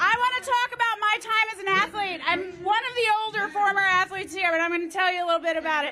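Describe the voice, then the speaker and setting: In a raised, projected voice with a bright, sharp tone, a woman with an American accent talks at a very fast pace and an extremely high pitch, with ordinary pitch variation and crowd noise in the background. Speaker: former gymnast and athletic brand founder. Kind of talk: rally speech. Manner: loud; animated.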